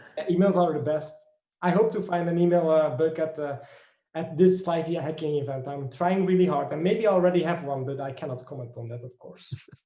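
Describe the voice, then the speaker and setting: A fairly high-pitched man at a fairly quick pace, with big swings in loudness and audible room echo. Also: ordinary pitch variation. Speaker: bug bounty hacker. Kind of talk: live stream chat. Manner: fast.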